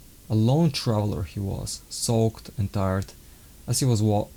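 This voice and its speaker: In a non-native accent, the speaker uses a dark, mellow tone at a moderate pace. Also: man. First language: not English. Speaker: author reading own book. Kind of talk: reading aloud. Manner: halting.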